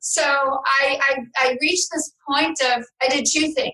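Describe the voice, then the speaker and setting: A raised, projected voice with ordinary pitch variation. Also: woman. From New York City. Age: 50s. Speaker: trauma recovery coach and author. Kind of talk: interview.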